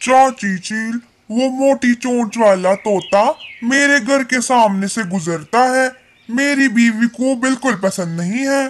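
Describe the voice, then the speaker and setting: This is a cartoonish character voice with a fairly high pitch. It moves at a fairly slow pace. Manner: earnest, pleading.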